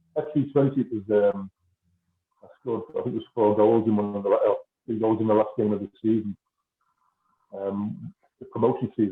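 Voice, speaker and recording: The speech moves at a fairly quick pace in a Liverpool accent. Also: man. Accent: Scouse. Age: 60s. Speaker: former professional footballer. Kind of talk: casual interview.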